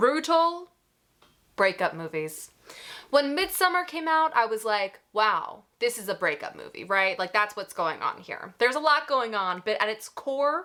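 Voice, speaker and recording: With an American accent, a woman speaks at a fairly slow pace in a fairly high, bright, sharp voice with an animated tone and very wide pitch swings. The recording is very clean, with a silent background. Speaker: horror movie reviewer. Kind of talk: casual video commentary.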